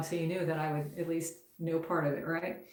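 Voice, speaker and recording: The audible room echo surrounds a woman with a fairly low pitch. She speaks at a moderate pace. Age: 60s. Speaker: guitar teacher. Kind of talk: live stream lesson, reading and answering comments. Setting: YouTube live stream. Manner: casual, with many fillers.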